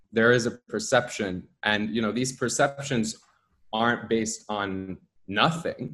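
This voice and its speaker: Speaking at a fairly slow pace, a man with an American accent has a medium pitch, a bright, sharp tone and ordinary pitch variation. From Egypt and Austria, later US. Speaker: journalist. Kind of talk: interview conversation. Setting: video call.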